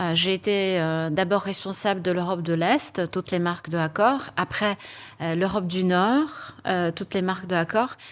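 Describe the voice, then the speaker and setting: Recorded very cleanly with a silent background, a woman speaks at a medium pitch with a Polish accent. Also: ordinary pitch variation, moderate pace. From Poland. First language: Polish (speaking French). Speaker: HR executive. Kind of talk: panel interview. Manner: hesitant, many fillers.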